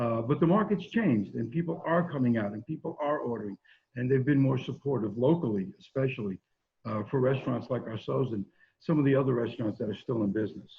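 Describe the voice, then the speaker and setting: His voice comes across as somewhat breathy. The man speaks at a very fast pace. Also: medium pitch for a man, lively intonation. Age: 60s. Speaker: pizzeria owner. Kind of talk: interview.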